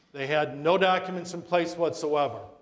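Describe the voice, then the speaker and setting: There is audible room echo as a man speaks in a high pitch at a moderate pace with fairly even intonation. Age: 60s. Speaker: estate planning attorney. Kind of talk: community talk on wills. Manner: conversational.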